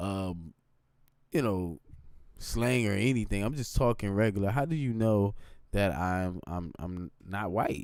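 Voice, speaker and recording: With lively intonation and a fairly low pitch, a man talks at a fairly slow pace, leaving long, frequent pauses. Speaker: gaming and tech streamer. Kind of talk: casual live stream talk. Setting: live stream on computer. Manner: conversational, repetitive with filler.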